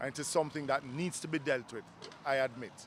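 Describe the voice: Speaking at a fairly quick pace, a man uses a medium pitch and ordinary pitch variation.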